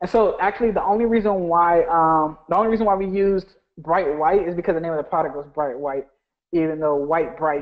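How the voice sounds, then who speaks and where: The man speaks at a high pitch with ordinary pitch variation. His pace is fairly quick. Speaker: online business coach. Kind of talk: live webinar tutorial. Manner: fast; casual, filler-heavy.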